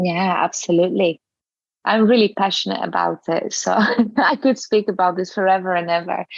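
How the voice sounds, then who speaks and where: A woman speaks at a medium pitch with a non-native accent. Her pitch varies in an ordinary way. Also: moderate pace. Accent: foreign accent in English. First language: not English. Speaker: yoga teacher and English teacher. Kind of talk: interview podcast.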